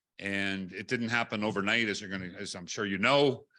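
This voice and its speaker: Very fast and loud, a man with a Canadian accent speaks in a fairly low, bright, sharp voice with ordinary pitch variation on a very clean recording with a silent background. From British Columbia, Canada. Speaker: national union president. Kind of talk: speech at book launch. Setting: hotel event room with audience, live streamed.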